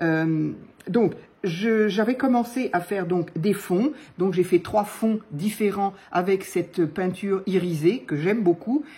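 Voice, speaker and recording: The voice has a dark, mellow tone and is somewhat breathy. It moves at a very slow pace with ordinary pitch variation. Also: woman, medium pitch for a woman. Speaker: papercraft youtuber. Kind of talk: crafting tutorial chat. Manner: hesitant, many fillers.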